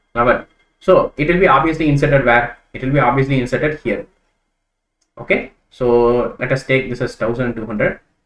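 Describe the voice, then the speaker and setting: A man's medium-pitched, normal speaking voice shows ordinary pitch variation. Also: fairly quick pace. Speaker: programming teacher. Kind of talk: tutorial.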